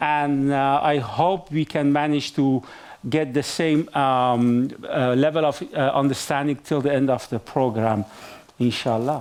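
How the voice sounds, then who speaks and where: In a Persian accent, the voice moves at a fairly slow pace with fairly even intonation and very even loudness. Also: man, fairly high pitch for a man. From Iran. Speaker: event moderator. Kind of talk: live event moderation. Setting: stage with live audience. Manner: hesitant, many fillers.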